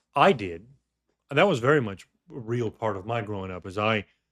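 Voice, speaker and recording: The speaker has a Southern US accent. The pitch swings very widely. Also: man. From US South, Georgia. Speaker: podcast host. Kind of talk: casual chat. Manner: halting, many repeats.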